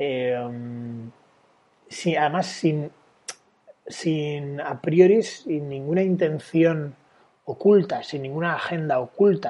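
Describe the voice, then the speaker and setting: Pausing long and often, a man speaks at a very slow pace with a fairly high pitch and ordinary pitch variation. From Valencia, Spain. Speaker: dating coach and sociologist. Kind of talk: casual interview.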